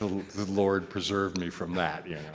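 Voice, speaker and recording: A man's very deep, low voice moves at a fairly slow pace with fairly even intonation, while noticeable background noise plays behind him. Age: 70s. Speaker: audience member asking a question. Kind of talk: audience Q&A. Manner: halting.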